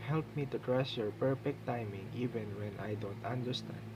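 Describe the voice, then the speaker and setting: A man with a medium-pitched voice speaks at a fairly slow pace against noticeable background noise. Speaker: devotional speaker. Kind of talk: devotional teaching, ending in a prayer; fervent prayer, earnest and reverent. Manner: humble, polite, respectful; sincere, earnest, heartfelt in the prayer.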